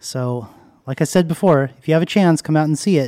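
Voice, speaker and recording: A man's dark, mellow tone in a very clean recording with a silent background. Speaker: podcast host. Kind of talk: podcast intro and outro, scripted-style address.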